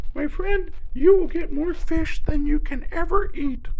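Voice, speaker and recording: A put-on character voice at a moderate pace. Background noise is clearly audible. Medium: read story.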